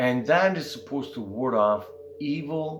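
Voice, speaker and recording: A man speaks at a very slow pace with lively intonation. Audible echo from the room surrounds his voice. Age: 60s. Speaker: spiritual content creator. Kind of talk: casual monologue. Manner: conversational, frequent fillers.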